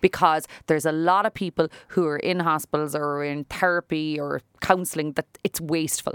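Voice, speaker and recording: A woman with a Cork accent talks at a moderate pace in a very deep, low pitch. Her intonation is fairly even, and the sound is dry and close with no echo. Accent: Irish (Cork). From Ireland. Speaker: salon owner and businesswoman. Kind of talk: interview. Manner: talkative.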